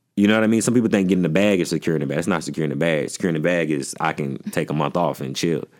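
The speaker rushes along at a very fast pace with hardly any pauses and a voice marked by vocal fry. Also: man, very deep, low pitch for a man, ordinary pitch variation. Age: 30s. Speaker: comedian. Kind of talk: casual interview. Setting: studio.

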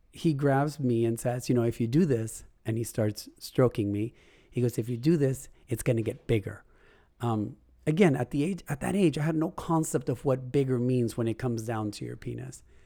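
The tone is dark and mellow, with ordinary pitch variation at a moderate pace. The recording is very clean, with a silent background. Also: man, medium pitch for a man. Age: adult. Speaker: podcast host. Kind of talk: personal monologue. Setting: home recording with puppies barking.

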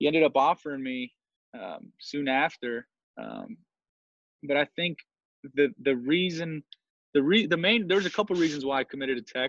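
A man with a fairly high pitch and lively intonation speaks at a moderate pace, with long, frequent pauses. His loudness swings widely, and the sound is dry and close with no echo. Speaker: former college baseball player. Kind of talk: casual interview. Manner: halting, many fillers.

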